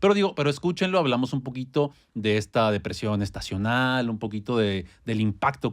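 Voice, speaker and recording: In a very clean recording against a silent background, a man can be heard. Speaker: podcast co-host. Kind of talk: casual chat. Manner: fast.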